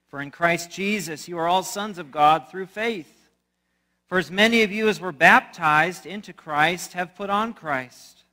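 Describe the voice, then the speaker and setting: Against a quiet background, a raised, projected voice with a bright, sharp tone shows ordinary pitch variation. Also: man. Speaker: pastor. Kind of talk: scripture reading in a sermon. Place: church.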